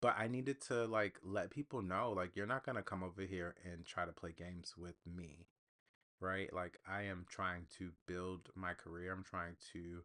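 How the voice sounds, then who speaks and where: A soft-spoken man with a very deep, low pitch talks at a moderate pace, his bright, sharp tone carrying ordinary pitch variation. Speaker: podcast host. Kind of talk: solo podcast monologue. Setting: home recording with USB mic.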